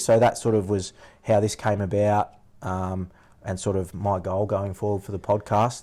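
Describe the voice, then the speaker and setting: A man with a rural Australian accent, fairly low in pitch and fairly slow in pace, on a very clean recording with a silent background. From rural Victoria, Australia. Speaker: podcast host, former shearer. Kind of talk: reading aloud a prepared intro; casual chat.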